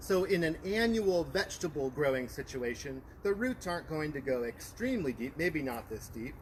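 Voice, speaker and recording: Loud and with very wide pitch swings, a man speaks at a fairly high pitch. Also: moderate pace. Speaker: master gardener program coordinator. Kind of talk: gardening demonstration. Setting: outdoors in a backyard garden, livestream.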